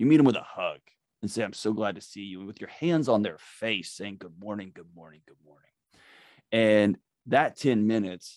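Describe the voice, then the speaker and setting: A man with a normal speaking voice and a fairly low pitch talks at a moderate pace with lively intonation, in a dry, close sound with no echo. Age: 40s. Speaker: mental health expert and author. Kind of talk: casual interview. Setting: remote call.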